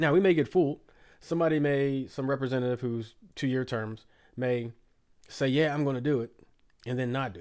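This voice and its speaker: Fairly high in pitch, a man speaks in a dark, mellow tone with an American accent. The recording is very clean, with a silent background. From United States. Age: 40s. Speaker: podcast host. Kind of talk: casual chat. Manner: animated.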